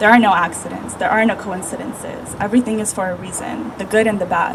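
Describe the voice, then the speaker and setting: A woman speaks with a fairly high pitch and a calm, soothing tone. Noticeable background noise runs under her voice. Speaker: meditation guide, energy healer. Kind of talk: guided meditation and spiritual talk to a crowd. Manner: calm, soothing, earnest.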